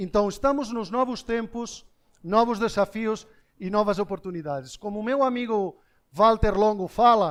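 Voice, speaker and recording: Over a quiet background, the speech moves at a moderate pace with ordinary pitch variation. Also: man, high pitch for a man. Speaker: business speaker. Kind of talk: keynote talk to live audience. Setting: stage with audience.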